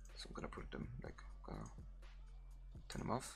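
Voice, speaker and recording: A man is speaking. Music plays in the background. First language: German. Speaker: video editing tutorial creator. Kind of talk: software tutorial. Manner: halting, many fillers; casual.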